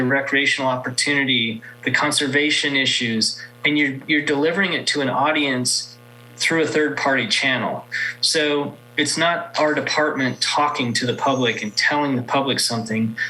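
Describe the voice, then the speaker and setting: A man's fairly high voice at a moderate pace, fairly even intonation, with audible room echo and noticeable background noise. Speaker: state agency marketing manager. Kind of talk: conference presentation. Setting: virtual event presentation.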